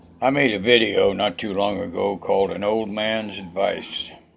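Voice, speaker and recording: Noticeable noise sits in the background. The voice belongs to a man. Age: old. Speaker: military veteran. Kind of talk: casual talk to camera, life story.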